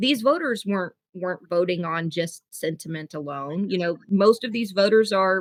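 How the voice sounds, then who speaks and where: A woman speaks at a moderate pace with hardly any pauses, her medium pitch showing ordinary variation. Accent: American. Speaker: podcast host. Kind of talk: interview conversation.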